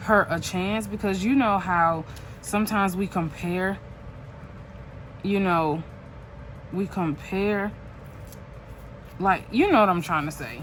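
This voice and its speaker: A woman with a medium pitch and ordinary pitch variation speaks at a fairly slow pace, leaving long, frequent pauses. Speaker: journaling YouTuber. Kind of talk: casual chat while crafting. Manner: halting, self-correcting.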